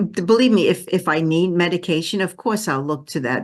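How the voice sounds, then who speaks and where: In a Brooklyn accent, a woman with a fairly low pitch speaks with lively intonation over a quiet background. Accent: New York (Brooklyn). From Brooklyn, New York. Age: 70s. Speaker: energy healer. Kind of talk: interview.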